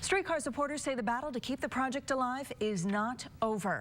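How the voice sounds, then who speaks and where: At a very fast pace, a woman with an American accent speaks with lively intonation over noticeable background noise. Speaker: TV news anchor and reporter. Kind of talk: studio news anchor read. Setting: television news studio and field reports.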